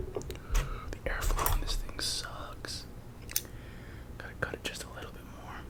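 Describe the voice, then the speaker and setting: Someone whispers at a fairly slow pace, with long, frequent pauses. Noticeable background noise is present. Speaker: ASMR creator. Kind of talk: casual talk to camera. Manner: whispered.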